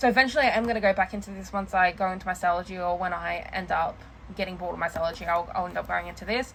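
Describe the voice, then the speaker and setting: A woman talks at a very fast pace. Her pitch is medium, with ordinary variation. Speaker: planner and journaling vlogger. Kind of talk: casual show-and-tell vlog. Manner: halting, filler-heavy.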